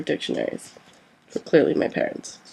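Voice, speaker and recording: A woman in an American accent speaks at a fairly quick pace as noticeable background noise fills the clip. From US. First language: Korean. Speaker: student. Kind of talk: reading aloud.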